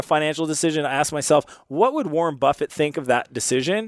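A man speaks very fast in an animated tone at a fairly high pitch, with a dry, close sound and no echo. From Canada. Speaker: entrepreneur and investor. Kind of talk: interview conversation.

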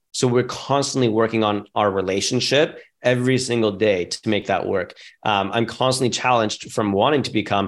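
Against a quiet background, a man talks at a fairly quick pace in a normal speaking voice. His pitch is medium, and his intonation stays fairly even. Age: 30s. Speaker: real estate investor and entrepreneur. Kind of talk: interview conversation.

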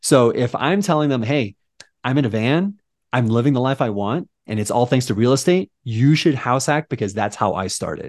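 An ordinary speaking voice, a man's at medium pitch with an American accent, carries lively intonation at a moderate pace in a dry, close sound with no echo. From Southern California, San Diego. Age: 30s. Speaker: realtor. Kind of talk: casual chat.

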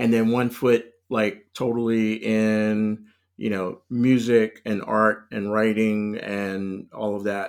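A man with an American accent has a plain, everyday voice, fairly low in pitch with fairly even intonation, on a very clean recording with a silent background. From US South, North Carolina (Raleigh). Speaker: cultural strategist. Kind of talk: casual interview.

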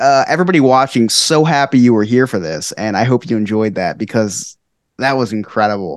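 This man has a normal speaking voice, a medium pitch and a fairly quick pace. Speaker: podcast co-host. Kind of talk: casual interview chat.

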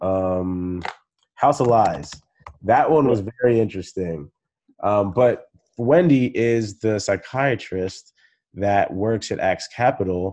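Speaking very slowly with long, frequent pauses, a man uses a fairly low pitch and a dark, mellow tone. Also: ordinary pitch variation. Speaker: podcast host. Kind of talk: casual interview chat. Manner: casual, filler-heavy.

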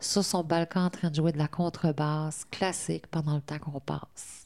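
On a very clean recording with a silent background, a woman with a fairly low voice speaks at a moderate pace in a monotone, flat intonation. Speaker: women's centre worker. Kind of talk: interview testimony.

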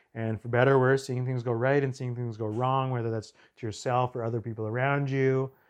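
A man with a Montreal accent, medium pitch, and a quiet background. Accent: English-speaking Canadian (Montreal). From Montreal, Quebec. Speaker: documentary filmmaker. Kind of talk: casual interview.

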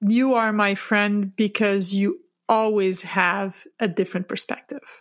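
In an ordinary speaking voice, a woman speaks at a medium pitch with fairly even intonation on a very clean recording with a silent background. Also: fairly slow pace. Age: 50s. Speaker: mindset coach. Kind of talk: casual chat.

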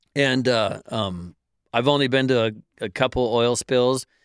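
A man of medium pitch is heard dry and close with no echo on a very clean recording with a silent background. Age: 50s. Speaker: oil spill response worker. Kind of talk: casual chat.

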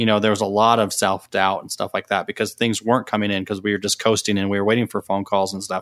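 Very fast, monotone speech from a fairly low-pitched man, with hardly any pauses and a dry, close sound free of echo. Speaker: podcast co-host. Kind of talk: casual interview chat.

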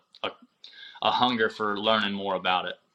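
A man's bright, sharp voice with an American accent. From southwest Michigan. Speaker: rodeo company founder. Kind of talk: casual interview.

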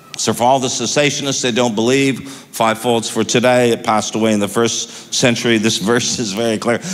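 Over noticeable background noise, a man speaks fairly quickly at a medium pitch with very even loudness. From Toronto, Canada. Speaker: pastor and podcast host. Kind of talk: sermon-style Bible teaching. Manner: animated, warm, conversational.

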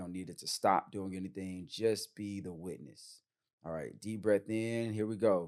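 A man talks in an unremarkable speaking voice at a fairly low pitch. His pace is moderate, and his loudness swings widely. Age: 30s. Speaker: podcast host and men's retreat facilitator. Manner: casual, slangy and upbeat.

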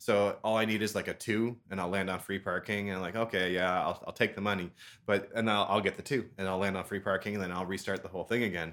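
A man's very fast, fairly low-pitched delivery in a Canadian accent, with monotone, flat intonation, on a very clean recording with a silent background. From Ontario, Canada. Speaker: language exchange co-host and gamer. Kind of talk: casual chat, interview.

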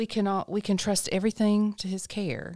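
In a normal speaking voice with an American accent, a woman speaks at a moderate pace and a medium pitch, recorded very cleanly with a silent background and a dry, close sound with no echo. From North Carolina. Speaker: ministry director. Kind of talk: casual chat.

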